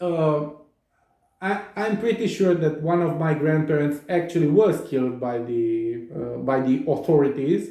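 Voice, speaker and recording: A Romanian accent at a fairly slow pace, with audible room echo. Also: man, fairly high pitch for a man, ordinary pitch variation. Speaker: psychotherapist. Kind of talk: monologue. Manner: animated; halting.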